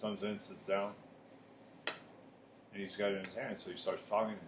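A man with a fairly low voice speaks over noticeable background noise. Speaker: podcast co-host. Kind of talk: casual chat. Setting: smoke shop.

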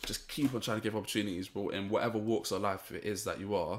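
In a London accent, a man speaks with monotone, flat intonation on a very clean recording with a silent background. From Saint Vincent heritage, raised in London. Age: 20s. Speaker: youtube channel founder. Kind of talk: interview.

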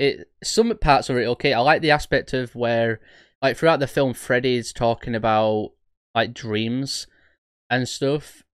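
Over a silent background on a very clean recording, a man with a plain, everyday voice speaks at medium pitch and a moderate pace with fairly even intonation. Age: 20s. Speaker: horror podcast host. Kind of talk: casual chat.

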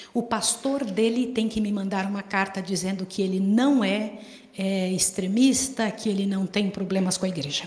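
The intonation stays fairly even. There is audible echo from the room. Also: woman, medium pitch for a woman, moderate pace. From Brazil. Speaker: volunteer missionary. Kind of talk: sermon.

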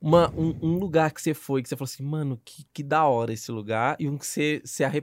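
A man talks at a very fast pace with hardly any pauses, his fairly high pitch showing ordinary pitch variation and big swings in loudness. The sound is dry and close, with no echo. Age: 20s. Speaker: podcast host. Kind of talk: casual chat. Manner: animated.

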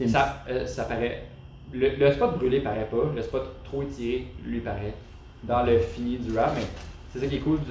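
A man with a Quebec accent talks at a fairly slow pace, with long, frequent pauses. Audible room echo and noticeable background noise come through. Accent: Québécois French. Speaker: off-road driver. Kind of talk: casual chat.

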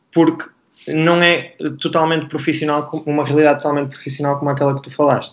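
Monotone, flat intonation marks this man's speech, pitched fairly high. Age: 30s. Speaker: basketball coach. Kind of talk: panel discussion.

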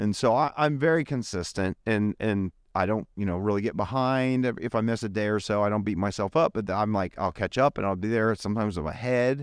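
In a normal speaking voice, a man talks at a fairly quick pace and a fairly low pitch with ordinary pitch variation and hardly any pauses, the sound dry and close with no echo on a very clean recording with a silent background. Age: 30s. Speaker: church podcast co-host. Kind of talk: casual chat.

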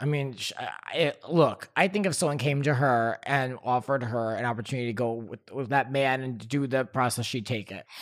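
A man talks at a fairly quick pace with hardly any pauses. He has a normal speaking voice, medium in pitch with ordinary pitch variation. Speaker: podcast host. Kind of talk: casual chat.

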